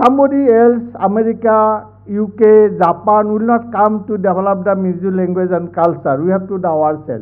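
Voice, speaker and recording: A man speaks at a high pitch and a moderate pace with ordinary pitch variation. The background is quiet. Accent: Assamese. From Assam, India. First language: Assamese. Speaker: vice chancellor; guest. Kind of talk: formal speech. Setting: stage with audience. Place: hall.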